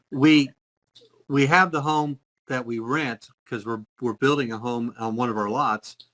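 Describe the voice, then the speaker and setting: Recorded with a dry, close sound and no echo, a man with an unremarkable speaking voice talks at a fairly slow pace, medium in pitch, with ordinary pitch variation. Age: 60s. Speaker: retired executive and businessman. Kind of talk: casual interview.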